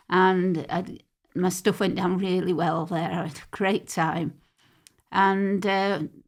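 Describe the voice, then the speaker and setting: On a very clean recording with a silent background, a woman with a Mancunian accent speaks very slowly at a medium pitch, her intonation monotone and flat while her loudness swings widely. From Manchester, England. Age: 60s. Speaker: poet and battle rapper. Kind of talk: podcast interview. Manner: halting.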